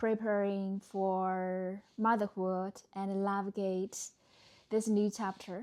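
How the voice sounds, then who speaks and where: A woman at a medium pitch with a Chinese accent, monotone and flat, at a very slow pace, in a very clean recording with a silent background. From China. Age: 30s. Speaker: vlogger and entrepreneur. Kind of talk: personal reflection to camera. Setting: recorded to camera. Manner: slightly hesitant, uncomfortable on camera.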